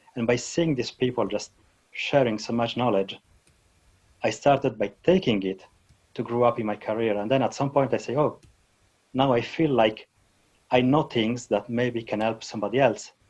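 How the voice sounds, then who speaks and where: Speaking with a non-native accent, a man uses a medium pitch and ordinary pitch variation. His pace is moderate, broken by long, frequent pauses. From Switzerland. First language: not English. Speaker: database technology speaker. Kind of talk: interview. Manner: halting.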